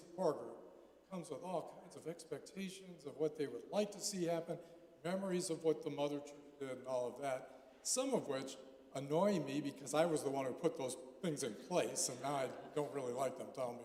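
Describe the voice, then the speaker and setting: A man's fairly high-pitched voice at a fairly quick pace, with ordinary pitch variation and audible room echo. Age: 70s. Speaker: pastor. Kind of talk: conference talk. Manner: halting.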